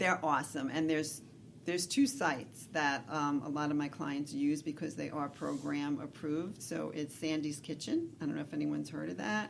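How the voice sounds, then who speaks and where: A woman talks with an American accent and vocal fry at a very deep, low pitch. Her pace is moderate, with ordinary pitch variation. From New York City. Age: 60s. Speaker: nurse and weight loss coach. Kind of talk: interview on radio show.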